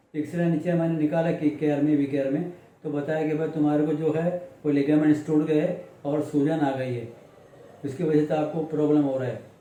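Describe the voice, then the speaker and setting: Audible room echo around a man at a moderate pace, fairly high in pitch, in a monotone, flat intonation. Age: 70s. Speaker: accident victim interviewed by local news. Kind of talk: interview testimony. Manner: halting.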